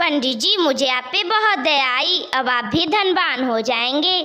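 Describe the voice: A woman's cartoonish character voice, high in pitch. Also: moderate pace.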